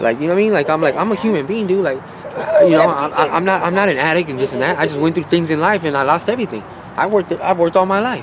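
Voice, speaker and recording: Over noticeable background noise, a man with a high pitch and an American accent speaks at a very fast pace. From Las Vegas, Nevada. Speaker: homeless man. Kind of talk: interview testimony. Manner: halting.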